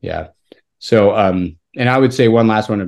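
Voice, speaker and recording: A plain, everyday voice from a man with an American accent, fairly low in pitch, at a moderate pace with ordinary pitch variation, against a quiet background. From Utah, Salt Lake area. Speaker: pharmacist and amateur cyclist. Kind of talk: casual interview.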